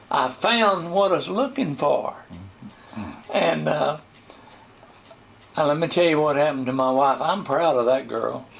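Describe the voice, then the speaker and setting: A man with an American accent speaks at a fairly slow pace, his pitch fairly high and his intonation lively. His loudness stays very even, with long, frequent pauses and noticeable background noise. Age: 90s. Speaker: pastor. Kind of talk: testimony. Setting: interview.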